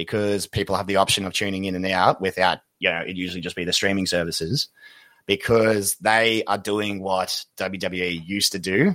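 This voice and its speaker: Speaking at a moderate pace in an Australian accent, the voice has a bright, sharp tone and fairly even intonation, recorded very cleanly with a silent background and a dry, close sound with no echo. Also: man. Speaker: podcast co-host. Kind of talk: casual chat.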